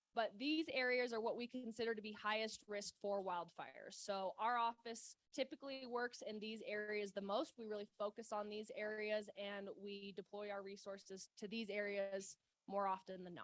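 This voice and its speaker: The delivery moves at a moderate pace with fairly even intonation, and the sound is dry and close with no echo. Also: woman. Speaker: wildfire mitigation program coordinator. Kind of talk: presentation to a club meeting. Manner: loud.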